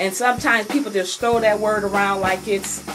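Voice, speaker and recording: Behind a woman's speech, background noise is noticeable. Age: 30s. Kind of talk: casual vlog talk. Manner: halting, many fillers.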